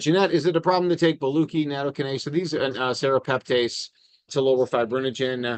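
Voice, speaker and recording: With an American accent, a man speaks at a very fast pace. His pitch is fairly high with ordinary pitch variation. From Chicago, US Midwest. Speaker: cardiologist. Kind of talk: live Q&A. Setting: outdoors outside a coffee shop, online stream.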